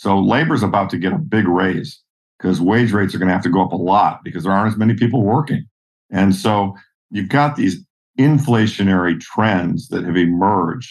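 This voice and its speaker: With a plain, everyday voice, a man talks at a fairly quick pace in a fairly low pitch with ordinary pitch variation. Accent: American. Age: 60s. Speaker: investor. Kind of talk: interview.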